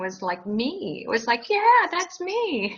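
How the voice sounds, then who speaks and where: Very wide pitch swings run through a woman's moderate-paced speech, heard over noticeable background noise. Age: 60s. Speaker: interviewee sharing weight loss story. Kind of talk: interview.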